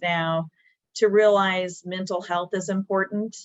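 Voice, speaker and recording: A woman speaks at a medium pitch in a plain, everyday voice. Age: 60s. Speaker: business owner. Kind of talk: webinar panel discussion. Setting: video webinar.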